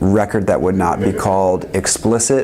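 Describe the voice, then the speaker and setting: A man with a very deep, low pitch and ordinary pitch variation talks amid noticeable background noise. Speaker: school principal and music producer. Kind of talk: interview. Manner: halting, many fillers.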